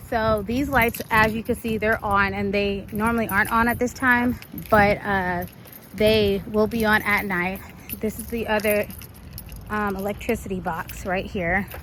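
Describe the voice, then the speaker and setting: This woman talks at a fairly slow pace. Her intonation is monotone and flat. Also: medium pitch for a woman. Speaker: event organizer. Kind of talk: walkthrough tutorial video. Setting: outdoors in a park. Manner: casual, filler-heavy.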